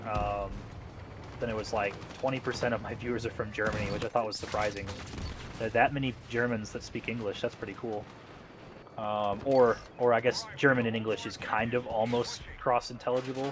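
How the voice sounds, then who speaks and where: A man with an American accent talks at a fairly quick pace in a medium pitch, his intonation monotone and flat. Long, frequent pauses break up his speech, and background noise is noticeable. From US South. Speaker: gaming streamer. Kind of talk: casual live stream chat with gameplay. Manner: halting, many fillers.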